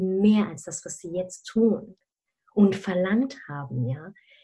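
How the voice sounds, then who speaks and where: A somewhat breathy woman's voice at a very slow pace. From Germany, of Malaysian family. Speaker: career mentor. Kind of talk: interview. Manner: animated, many fillers.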